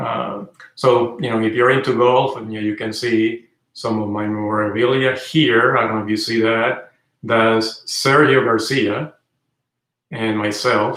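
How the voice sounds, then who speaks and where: A man with a Spanish accent speaks at a fairly slow pace, his medium-pitched voice keeping a fairly even intonation. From Venezuela. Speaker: car channel host. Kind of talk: livestream chat. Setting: indoors livestream. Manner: hesitant, many fillers.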